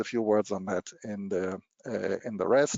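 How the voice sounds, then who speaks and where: A man is speaking. He has a German accent. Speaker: machine translation technology presenter. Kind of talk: webinar presentation. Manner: halting, many repetitions and fillers.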